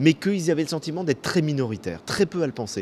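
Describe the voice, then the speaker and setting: A man with a plain, everyday voice, fairly quick pace and lively intonation. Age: 50s. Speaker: author. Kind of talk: interview. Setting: hotel bar.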